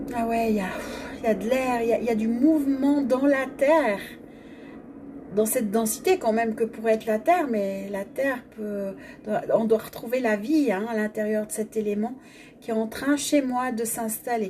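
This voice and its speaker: With noticeable background noise behind her, a woman at a fairly high pitch speaks with ordinary pitch variation and long, frequent pauses. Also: moderate pace. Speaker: energy healing facilitator. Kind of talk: guided energy exercise. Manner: stammering at times.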